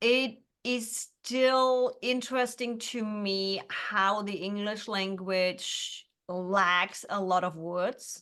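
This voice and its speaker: With a German accent, a woman speaks very slowly at a fairly high pitch, her tone bright and sharp and her pitch variation ordinary. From Germany. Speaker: entrepreneur, business coach. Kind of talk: interview answer.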